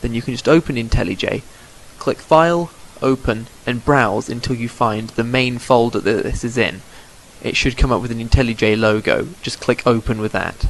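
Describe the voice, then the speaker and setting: Against noticeable background noise, a man talks at a moderate pace with medium pitch and ordinary pitch variation. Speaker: Minecraft modding tutorial maker. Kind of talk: screen-recorded programming tutorial. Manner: mumbling, stuttering at times.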